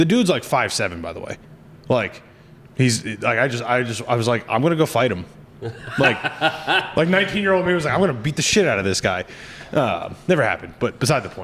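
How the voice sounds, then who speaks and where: With very wide pitch swings around a medium pitch, a man talks very fast in an animated tone, broken by long, frequent pauses, over noticeable background noise. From central New Jersey. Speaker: podcast host. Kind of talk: casual chat. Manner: animated, with many false starts.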